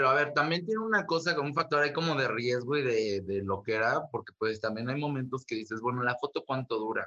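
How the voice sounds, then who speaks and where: A man talks at a fairly quick clip with hardly any pauses. His tone is bright and sharp. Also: medium pitch for a man, lively intonation. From Mexico, Ciudad Nezahualcóyotl. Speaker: photographer. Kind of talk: interview. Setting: video call.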